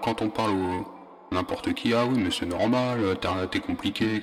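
A man talks at a very slow pace with ordinary pitch variation. Noticeable background noise runs behind him. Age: 30s. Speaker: personal podcaster. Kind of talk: personal narration. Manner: halting.

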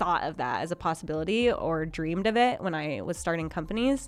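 With an American accent and a plain, everyday voice, a woman talks at a fairly quick pace in a fairly low pitch with lively intonation. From Minnesota. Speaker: startup founder and CEO. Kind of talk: interview storytelling.

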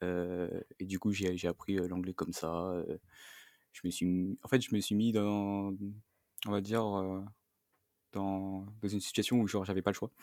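Slow-paced and flat, a man with a fairly low pitch speaks in a monotone with long, frequent pauses, and the sound is dry and close with no echo. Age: 20s. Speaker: interviewee sharing breakup story. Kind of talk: personal testimony interview. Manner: halting, many repetitions and fillers.

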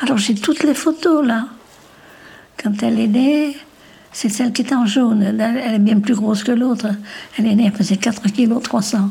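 Moderate-paced speech with long, frequent pauses, ordinary pitch variation and very even loudness over noticeable background noise. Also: woman, fairly high pitch for a woman. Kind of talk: interview.

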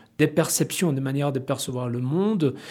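Using ordinary pitch variation, a man with a Spanish accent speaks at a fairly high pitch. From Mexico. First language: Spanish (speaking French). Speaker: educational publishing representative. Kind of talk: panel discussion.

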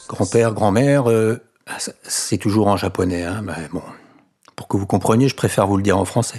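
A man's fairly low pitch at a moderate pace, with ordinary pitch variation and long, frequent pauses. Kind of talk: bedtime story telling. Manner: warm, chatty storyteller who breaks off to ask listeners questions and comment; animated, playing the characters with different voices and sound effects.

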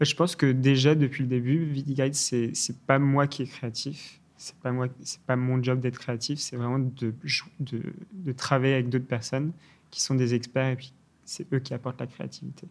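This man's voice sits at a medium pitch with fairly even intonation and a moderate pace. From England, London; Irish mother, French father. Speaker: startup founder. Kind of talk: interview. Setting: studio. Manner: halting, many repetitions and fillers.

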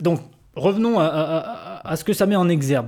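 A very slow pace on a very clean recording with a silent background. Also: man. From southwestern France. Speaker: podcast host. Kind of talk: interview. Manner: halting.

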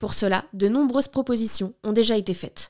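A woman talks at a fairly quick pace in a plain, everyday voice with ordinary pitch variation, the sound dry and close with no echo. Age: 30s. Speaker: podcast host, documentary maker. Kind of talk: scripted narration.

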